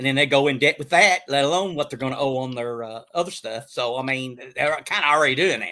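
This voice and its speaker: Speaking at a very fast pace with an American accent, a man has a bright, sharp tone, a fairly high pitch and ordinary pitch variation. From Kentucky-Indiana area. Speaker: precious metals channel guest. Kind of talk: casual chat. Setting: live stream.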